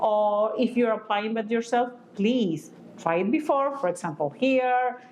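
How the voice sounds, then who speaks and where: Fairly slow, fairly high-pitched speech from a woman with a non-native accent and ordinary pitch variation. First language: not English. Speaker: physician teaching aesthetic medicine. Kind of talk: educational lecture. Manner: halting, many fillers.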